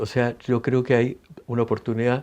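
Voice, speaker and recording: At a fairly slow pace, a man with a Chilean accent speaks in a dark, mellow tone. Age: 70s. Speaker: singer-songwriter. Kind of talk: interview. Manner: hesitant, many fillers and restarts.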